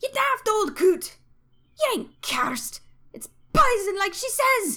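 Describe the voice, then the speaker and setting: Someone uses a put-on character voice at an extremely high pitch, speaking at a fairly slow pace. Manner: scolding, exasperated.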